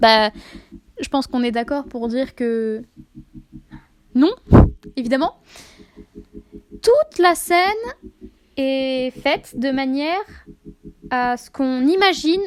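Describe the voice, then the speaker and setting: With long, frequent pauses, a woman speaks at a very slow pace in a high voice, her intonation lively and her loudness swinging widely. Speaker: video essayist, fan theorist. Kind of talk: video essay on fan theories. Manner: hesitant, many filler sounds.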